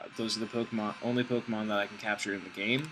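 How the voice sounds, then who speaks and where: The intonation remains fairly even. Background music can be heard. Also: man. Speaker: gaming video creator. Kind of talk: gameplay commentary. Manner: fast; casual, filler-heavy.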